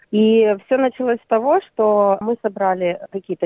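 Using a normal speaking voice, a woman of medium pitch speaks at a moderate pace with ordinary pitch variation. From Ukraine, Crimea. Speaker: art therapy project founder. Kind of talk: interview.

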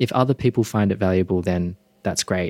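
With an Australian accent, a man talks at a moderate pace in a dry, close sound with no echo. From Perth, Western Australia. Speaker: meditation teacher. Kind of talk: interview.

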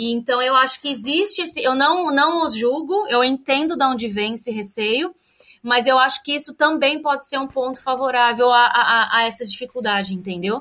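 At a moderate pace, a raised, projected voice speaks with lively intonation. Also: woman, high pitch for a woman. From Brazil, São Paulo state (Piracicaba). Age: 30s. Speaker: urban planner, immigrant interviewee. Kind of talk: interview testimony.

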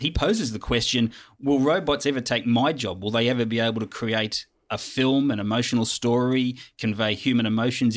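A man at medium pitch with an Australian accent, fairly even intonation and a moderate pace, in a very clean recording with a silent background. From Sydney, Australia. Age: old. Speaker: film festival program director. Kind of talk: casual chat. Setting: studio.

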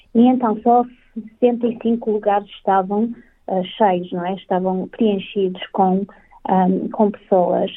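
Very slow speech from a woman, her intonation fairly even. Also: medium pitch for a woman. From northern Portugal, Vila Nova de Famalicão. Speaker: community council representative. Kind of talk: interview.

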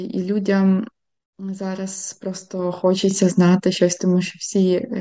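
Against a quiet background, a woman talks fairly slowly in a medium-pitched, dark and mellow voice with monotone, flat intonation. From Ukraine, Khmelnytskyi. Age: 30s. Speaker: concert pianist. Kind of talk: interview.

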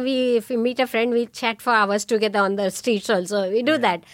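Fairly high-pitched woman with an Indian accent, talking at a fairly quick pace. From India (Pune, near Mumbai). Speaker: immigrant parent. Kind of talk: casual family conversation. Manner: laughs often.

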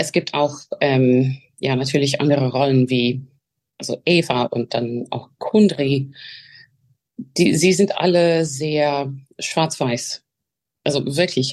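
Long, frequent pauses break up very slow speech whose pitch varies in an ordinary way. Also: woman, very deep, low pitch for a woman. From Australia, Melbourne. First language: English (speaking German). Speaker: opera singer. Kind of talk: interview. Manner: halting.

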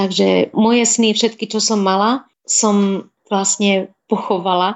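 A woman at a medium pitch talks at a fairly slow pace in a monotone, flat manner. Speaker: food blogger and hospital nutrition worker. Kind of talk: radio interview.

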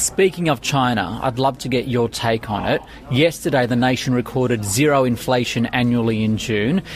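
A man speaks at a medium pitch and a moderate pace. His pitch varies in an ordinary way, and there is noticeable background noise. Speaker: finance news podcast host. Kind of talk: news interview. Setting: studio.

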